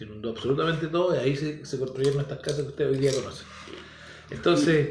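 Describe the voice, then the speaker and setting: A man speaks very fast in a fairly high pitch, with ordinary pitch variation. There is audible echo from the room. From Chile, San Fernando. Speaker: podcast guest, teacher. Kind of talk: casual chat. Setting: home studio, his house.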